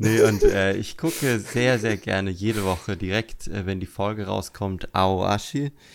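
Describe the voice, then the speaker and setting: A man talks in an ordinary speaking voice at a fairly low pitch. His pace is fairly slow, with ordinary pitch variation. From Germany, Lower Franconia (Würzburg area). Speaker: podcast host. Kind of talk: casual chat.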